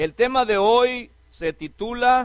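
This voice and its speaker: A man talks with very wide pitch swings. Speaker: preacher. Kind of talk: sermon.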